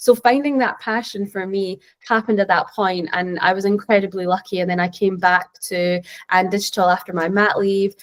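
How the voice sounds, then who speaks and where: With a Scottish accent, a woman speaks at a moderate pace and medium pitch, her intonation fairly even. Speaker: tech professional, panelist. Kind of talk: panel discussion answer.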